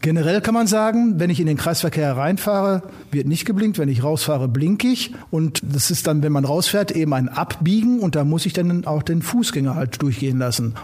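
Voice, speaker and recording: A man with a fairly high pitch speaks at a fairly quick pace with hardly any pauses, his intonation lively. His loudness stays very even over noticeable background noise. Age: 60s. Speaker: police traffic safety instructor. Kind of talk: casual interview.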